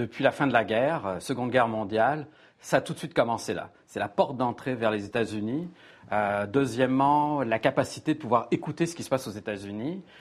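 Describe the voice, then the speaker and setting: A man's ordinary speaking voice at medium pitch, with ordinary pitch variation and a fairly quick pace, on a very clean recording with a silent background. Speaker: journalist. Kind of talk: panel discussion.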